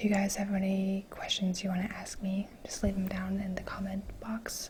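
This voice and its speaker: The speaker is soft-spoken and talks at a moderate pace. Noticeable background noise runs underneath. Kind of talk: ASMR soft-spoken get-to-know-me talk to camera.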